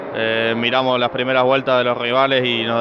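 Over noticeable background noise, a man at medium pitch speaks with monotone, flat intonation. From Argentina. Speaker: racing driver. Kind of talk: post-race interview. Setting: trackside interview at a race circuit. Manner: hesitant, with fillers and repetitions. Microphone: handheld.

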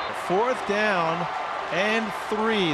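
A man uses a raised, projected voice with lively intonation. There is noticeable background noise. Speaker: football play-by-play announcer. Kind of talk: live play-by-play commentary.

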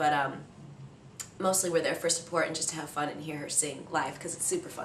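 With an American accent and a fairly low pitch, a woman talks over light background noise, her voice carrying audible room echo. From Iowa, USA. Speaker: professional dancer and dance captain. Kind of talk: interview answer. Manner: casual, relaxed. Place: home room. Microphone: camera far.

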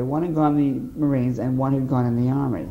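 A man speaks at a fairly quick pace with an American accent and a fairly high pitch. Audible room echo surrounds his voice. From US Northeast (Boston area, Massachusetts). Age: 50s. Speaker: war veteran. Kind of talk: oral history interview.

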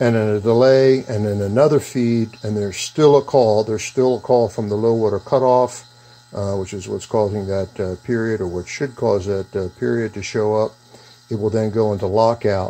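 A man with an unremarkable speaking voice talks at a moderate pace with fairly even intonation. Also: fairly low pitch for a man. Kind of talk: tutorial. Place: workshop.

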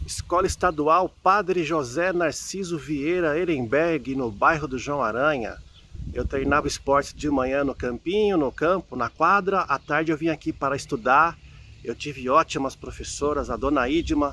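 Bright and sharp in tone, the voice shows ordinary pitch variation. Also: man, fairly high pitch for a man, moderate pace. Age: 40s. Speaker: architect and writer, book editor at investment research firm. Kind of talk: personal storytelling to camera.

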